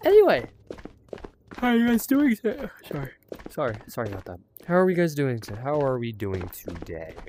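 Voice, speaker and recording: The speaker talks at a fairly quick pace but leaves long, frequent pauses. Noticeable background noise runs underneath. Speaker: gaming streamer. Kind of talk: gameplay commentary. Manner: soft-spoken; breathes through mouth while talking.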